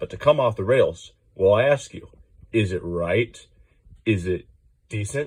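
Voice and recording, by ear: A passage read aloud in a natural voice.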